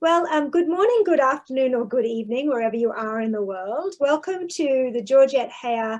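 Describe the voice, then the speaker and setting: A woman with a high pitch and an Australian accent, lively intonation, and a moderate pace. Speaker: professor, event host. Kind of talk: conversational interview.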